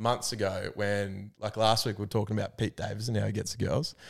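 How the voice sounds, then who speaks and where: Very fast speech in an Australian accent on a very clean recording with a silent background. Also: man. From Albury, regional Australia. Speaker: podcast co-host. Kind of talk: casual chat.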